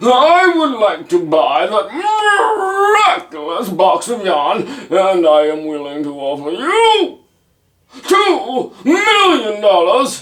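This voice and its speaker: In a put-on character voice, a man speaks at an extremely high pitch with very wide pitch swings and a very slow pace. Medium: read story. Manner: haughty, demanding.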